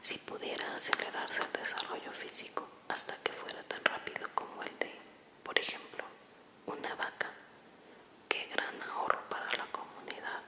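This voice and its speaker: Whispered words at a moderate pace come through noticeable background noise. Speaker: ASMR creator. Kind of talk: read story.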